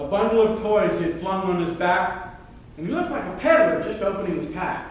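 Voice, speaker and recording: Noticeable background noise sits behind a man's voice. He speaks high for a man at a moderate pace. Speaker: amateur performer. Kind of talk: poetry reading. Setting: live show. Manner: animated.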